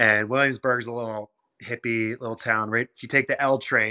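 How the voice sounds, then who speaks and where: A man with an American accent at a medium pitch and fairly quick pace, his tone bright and sharp, in a very clean, dry, close recording with a silent background and no echo. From Philadelphia. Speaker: pro hockey player. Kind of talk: interview. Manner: animated.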